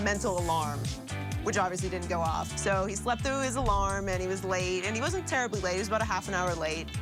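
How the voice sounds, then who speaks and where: Music plays in the background as a woman speaks. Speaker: radio show colleague. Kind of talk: casual interview answer.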